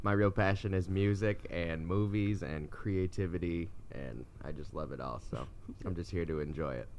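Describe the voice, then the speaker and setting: The speaker has a Midwestern accent. Audible room echo surrounds the voice. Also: man. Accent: Midwestern vowels. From US Midwest, Michigan near Canadian border. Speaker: podcast co-host, mechanic. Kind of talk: casual chat.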